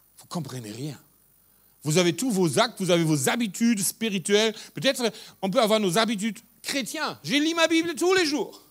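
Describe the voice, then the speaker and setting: His pitch swings very widely. This man has a high pitch. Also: very clean recording, silent background. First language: German (speaking French). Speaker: pastor. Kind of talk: sermon.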